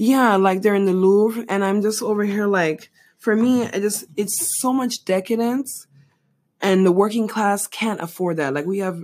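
A woman of medium pitch with an American accent speaks at a moderate pace with ordinary pitch variation, in an unremarkable speaking voice. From outside the US. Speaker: podcast co-host. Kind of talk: casual chat.

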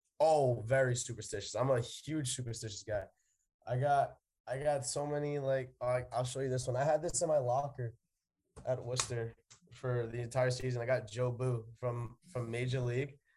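Breathiness runs slightly through this man's medium-pitched voice. His intonation is monotone and flat. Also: moderate pace. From New York City, the Bronx. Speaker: college baseball player. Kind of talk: interview.

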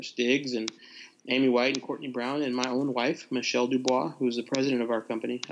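This man talks at a fairly quick pace. He has an American accent. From US South, Nashville, Tennessee. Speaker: pastor and former government official. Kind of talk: interview.

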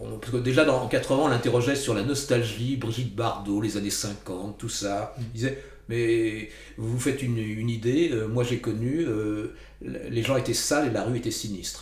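Audible room echo surrounds a man who speaks at a moderate pace and medium pitch, somewhat breathy, with fairly even intonation. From Paris region, France. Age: 60s. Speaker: author. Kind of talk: interview.

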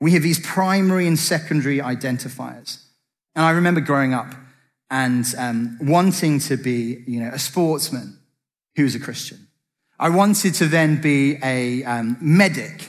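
A man with an English accent talks at a moderate pace, his pitch fairly high with ordinary variation. Audible room echo surrounds the voice. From Britain. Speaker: preacher. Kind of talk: sermon.

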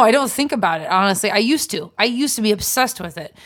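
An ordinary speaking voice at a fairly quick pace with lively intonation, on a very clean recording with a silent background. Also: woman. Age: 30s. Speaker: comedian and podcast co-host. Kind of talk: casual chat.

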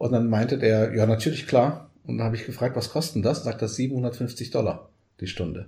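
A man speaks at a moderate pace and medium pitch, with ordinary pitch variation. His dark, mellow voice is somewhat breathy, and the recording is very clean with a silent background. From Germany, raised from age 3.5; Portuguese-born. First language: Portuguese (speaking German). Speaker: coach and trainer. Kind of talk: casual interview.

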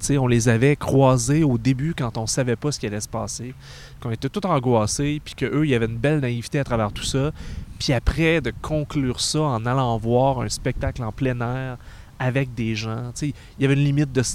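In a Quebec accent, a man speaks at a medium pitch. His pace is moderate and his intonation fairly even. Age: 30s. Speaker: podcast host. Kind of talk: casual chat.

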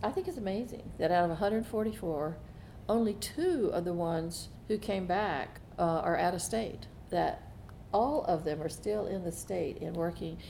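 The pace is fairly slow. A woman speaks with a Southern US accent. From US South. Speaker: foundation trustee. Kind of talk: casual interview conversation.

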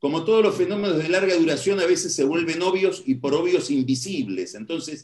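A man talks with lively intonation at a moderate pace. His pitch is high. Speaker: political analyst. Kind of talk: lecture.

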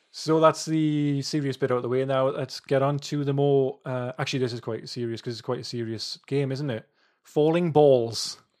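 A man with a normal speaking voice and a fairly high pitch talks at a moderate pace with fairly even intonation against a quiet background. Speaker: podcast host. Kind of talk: casual chat.

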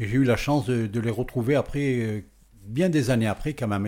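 A man's dark, mellow voice at medium pitch, with ordinary pitch variation and a moderate pace. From France, Valence (Drôme). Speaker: radio DJ. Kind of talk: interview. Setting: in person on location.

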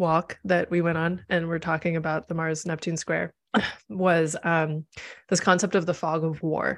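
In an American accent, a woman with a fairly low pitch speaks at a fairly slow pace over a quiet background. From US Midwest (Nebraska, Missouri, Chicago). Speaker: astrologer and tarot reader. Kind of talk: casual conversation on a livestream.

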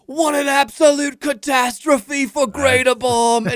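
In a put-on character voice with high pitch, the speaker goes at a fairly slow pace. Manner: dramatic, mournful announcer delivery.

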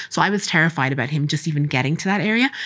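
A woman with an Irish accent at a very deep, low pitch, talking at a very fast pace in a very clean recording with a silent background. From Ireland, Castlebar (Co. Mayo). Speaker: doctor and assistant professor. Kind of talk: interview. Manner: animated.

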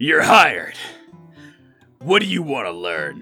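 With faint music in the background, a man does a raspy put-on character voice at a fairly high pitch. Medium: audio drama. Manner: loud, gruff.

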